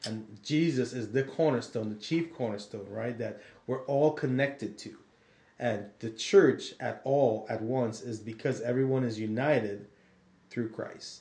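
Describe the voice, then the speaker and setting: Somewhat breathy male voice with a dark, mellow tone. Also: medium pitch for a man, ordinary pitch variation. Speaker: podcast co-host. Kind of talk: casual podcast Bible discussion.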